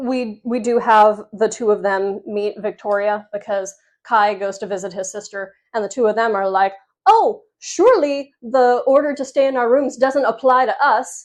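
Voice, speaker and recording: Moderate pace and ordinary pitch variation from a woman with a fairly high voice, set against a quiet background. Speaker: book reviewer. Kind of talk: rant review. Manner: animated.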